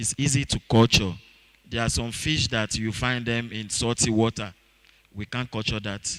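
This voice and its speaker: A man at a medium pitch and moderate pace, with a Nigerian accent, fairly even intonation, and a dry, close sound with no echo. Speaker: fish farming trainer. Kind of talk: seminar talk. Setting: auditorium. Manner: halting, many fillers.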